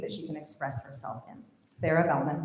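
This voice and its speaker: A woman talks at a moderate pace, and some room echo is audible. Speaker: high school band director. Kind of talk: speech honoring graduating seniors at a concert. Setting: stage with audience. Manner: shaky voice.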